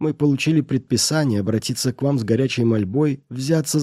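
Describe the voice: With ordinary pitch variation, the words are read aloud plainly.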